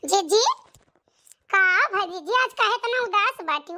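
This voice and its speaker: Using a squeaky, put-on character voice, the speaker goes at a fairly slow pace with lively intonation. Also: woman, extremely high pitch for a woman. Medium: voice reel. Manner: blunt, reproachful, repetitive.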